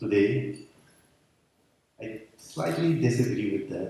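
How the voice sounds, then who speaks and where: A man is speaking. There is audible echo from the room. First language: Dutch. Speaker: conference speaker. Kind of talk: conference talk. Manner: halting.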